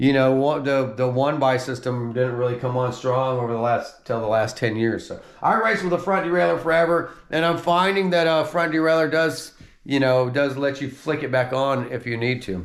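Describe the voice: A man speaks at medium pitch and a moderate pace. His intonation stays fairly even.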